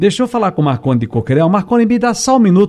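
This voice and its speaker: A man speaks at a very fast pace with very wide pitch swings. His tone is dark and mellow. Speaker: radio host. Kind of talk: radio call-in show hosting.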